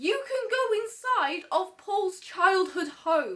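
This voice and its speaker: Over music in the background, a woman projects her raised voice with very wide pitch swings. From Britain. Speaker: YouTuber, pop culture commentator. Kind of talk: casual vlog commentary. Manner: animated.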